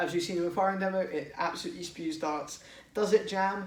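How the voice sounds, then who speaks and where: A man's high voice in an English accent with ordinary pitch variation, plus audible room echo and noticeable background noise. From England. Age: 20s. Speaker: toy blaster modder, YouTuber. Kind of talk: product showcase tutorial. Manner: casual, hesitant with fillers.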